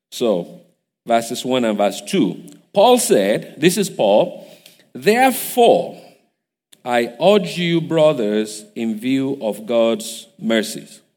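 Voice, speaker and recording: In a Nigerian accent, a man speaks very slowly at a medium pitch, with very wide pitch swings. Room echo can be heard. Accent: Nigerian (Yoruba) English. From Nigeria (Igbajo, Osun State). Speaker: guest preacher. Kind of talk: sermon. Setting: church service.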